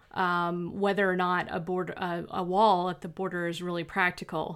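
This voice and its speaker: A woman's medium-pitched voice, an ordinary speaking voice, in a very clean recording with a silent background. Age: 40s. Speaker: fiction author and podcast host. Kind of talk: casual monologue.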